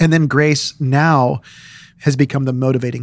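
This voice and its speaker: This man has a plain, everyday voice with fairly even intonation. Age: 40s. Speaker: pastor. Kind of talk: casual chat.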